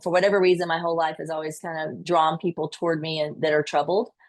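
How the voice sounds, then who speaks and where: Woman's voice with a Southern US accent and monotone, flat intonation. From US South, rural Georgia. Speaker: nurse and podcast guest. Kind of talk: interview.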